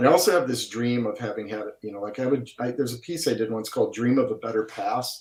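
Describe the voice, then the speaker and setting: With a strong Wisconsin accent, a man talks very fast with hardly any pauses, his medium-pitched voice showing ordinary pitch variation. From Milwaukee, Wisconsin. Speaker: painter, artist. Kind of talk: casual chat. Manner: over-enunciated.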